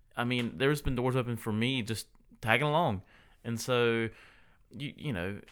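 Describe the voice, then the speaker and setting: Speaking with a Southern US accent, a man talks at a moderate pace with a medium pitch and ordinary pitch variation, in a very clean recording with a silent background. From US South, Statesboro, Georgia. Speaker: spouse of athlete. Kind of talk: casual chat.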